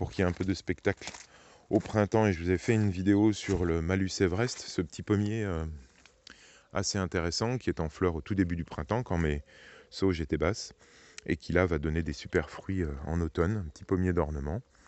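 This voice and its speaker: Speaking at a moderate pace, a man with a very deep, low pitch shows ordinary pitch variation. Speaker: gardening youtuber. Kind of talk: garden tour tutorial. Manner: soft-spoken; hesitant with many fillers.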